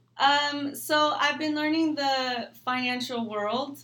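A woman's bright, sharp voice comes through with audible room echo. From California, Mexican-American family. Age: 20s. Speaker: young entrepreneur in financial services. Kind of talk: casual interview chat. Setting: studio.

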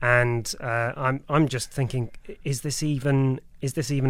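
Monotone, flat delivery from a man of medium pitch with a British accent. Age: 30s. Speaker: podcast guest. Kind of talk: casual chat. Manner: halting.

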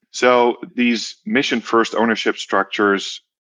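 A man with a Dutch accent sounds dry and close with no echo, against a quiet background. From Netherlands. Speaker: social finance CEO. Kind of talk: interview.

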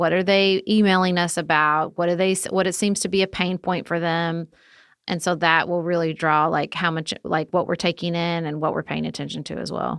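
A woman speaks at a fairly quick pace in a normal speaking voice, her pitch fairly low. The recording is very clean, with a silent background. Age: 40s. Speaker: political podcast co-host. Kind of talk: interview.

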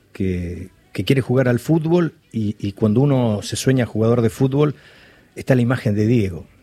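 Delivery comes at a moderate pace with ordinary pitch variation. The tone is dark and mellow. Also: man. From Argentina, Balcarce (Buenos Aires province). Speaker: writer and journalist. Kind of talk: interview. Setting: studio. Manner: halting, many repetitions.

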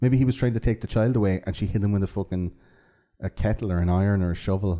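A man with an Irish accent, a dark, mellow tone, fairly low pitch and ordinary pitch variation at a very fast pace, on a very clean recording with a silent background. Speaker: podcast host. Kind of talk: casual chat. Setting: studio.

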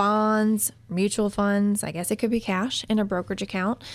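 A woman's medium-pitched voice, a normal speaking voice. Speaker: radio co-host and financial planner. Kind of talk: call-in radio show. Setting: radio studio.

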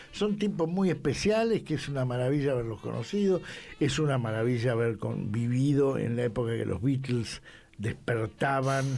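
At a moderate pace, a man speaks with lively intonation and a medium pitch. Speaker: rock journalist and writer. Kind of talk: casual chat.

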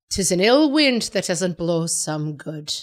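Using a put-on character voice in an Irish accent, the speaker goes at a fairly slow pace with very wide pitch swings. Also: woman, medium pitch for a woman.

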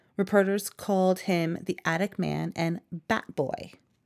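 The speaker is a woman with a medium pitch. She has a normal speaking voice. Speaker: podcast host. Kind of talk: scripted narration with casual banter.

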